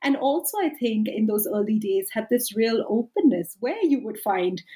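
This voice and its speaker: Lively in intonation and somewhat breathy, a woman with a fairly high pitch and a dark, mellow tone talks at a moderate pace. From India. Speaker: sociology professor and author. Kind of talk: academic interview.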